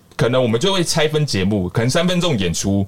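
A man talks at a medium pitch with very wide pitch swings. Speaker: tap dancer and street performer. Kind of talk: casual interview chat. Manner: energetic, projecting loudly; animated, theatrical.

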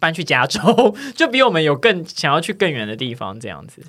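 With a bright, sharp tone and some vocal fry, a man speaks at a fairly quick pace and fairly high pitch on a very clean recording with a silent background. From Taiwan, Tainan. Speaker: podcast host. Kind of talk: casual chat.

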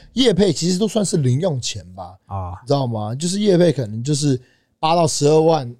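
On a very clean recording with a silent background, a man with a dark, mellow tone and a fairly high pitch speaks at a moderate pace with very wide pitch swings. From Taiwan, teens in Canada. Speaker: fitness brand founder. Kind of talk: casual chat. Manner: lively, expressive.

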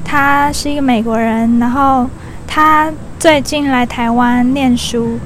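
In a room with audible echo and noticeable background noise, a woman speaks very slowly at a high pitch, her intonation fairly even. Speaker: podcast host. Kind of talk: casual interview; solo intro narration. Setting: outdoors in a park.

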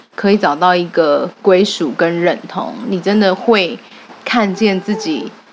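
A woman speaks at a fairly slow pace with a medium pitch. Noticeable background noise runs under her voice. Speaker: clan association organizer and event emcee. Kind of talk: casual chat.

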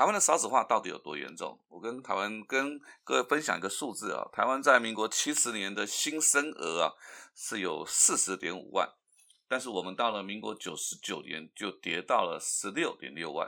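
A man's speech moves at a moderate pace. His recording is very clean against a silent background. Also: big swings in loudness. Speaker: podcast host. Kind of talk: solo commentary.

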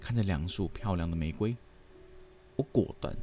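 A man with a slight Hong Kong accent, very deep and low in pitch, at a moderate pace. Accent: slight Hong Kong accent in Mandarin. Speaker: podcast host. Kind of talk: storytelling narration.

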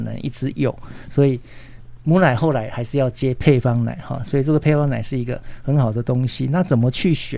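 A man speaks at a medium pitch with a dark, mellow tone. His pace is moderate and his pitch variation ordinary. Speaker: pediatrician. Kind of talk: health talk interview.

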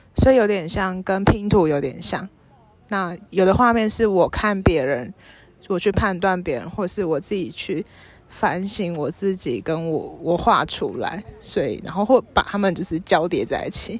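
A woman speaks at a fairly slow pace. Her pitch sits in the middle and varies in an ordinary way. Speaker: textile print artist and small business founder. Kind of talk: casual chat. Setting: outdoors at a seaside hillside cafe.

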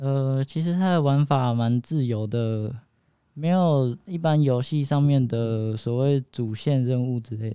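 A man speaks very slowly at a medium pitch. His tone is dark and mellow, with ordinary pitch variation. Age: young. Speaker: game designer. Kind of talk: interview. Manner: halting.

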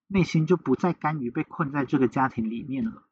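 With a Taiwanese accent and lively intonation, a man talks at a moderate pace in a dry, close sound with no echo. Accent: Taiwanese Mandarin. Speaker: podcast host. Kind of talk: true crime storytelling.

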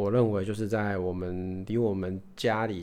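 A fairly low-pitched male voice, fairly slow in pace. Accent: Taiwanese. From Taiwan. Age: 30s. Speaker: podcast host. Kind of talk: casual monologue. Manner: halting, with repetitions.

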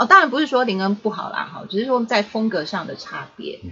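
A woman speaks in a Taiwanese accent. Her pitch swings very widely. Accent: Taiwanese Mandarin. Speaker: pastor's child, podcast guest. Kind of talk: casual chat.

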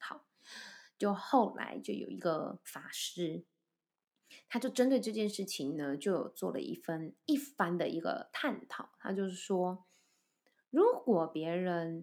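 At a very slow pace with long, frequent pauses, a woman speaks at medium pitch with very wide pitch swings, on a very clean recording with a silent background. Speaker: voice and speech coach, podcast host. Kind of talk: solo podcast talk. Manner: relaxed, light humorous tone.

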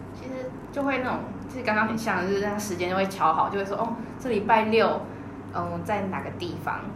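At a fairly quick pace, a woman speaks at a medium pitch with ordinary pitch variation, with audible room echo and noticeable background noise. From Taiwan. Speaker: former working-holiday tour guide. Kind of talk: interview.

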